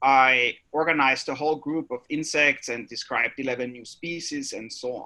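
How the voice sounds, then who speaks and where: Speaking in an Austrian accent, a man has a fairly high pitch and a bright, sharp tone. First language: German. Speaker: biology professor. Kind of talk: panel introduction.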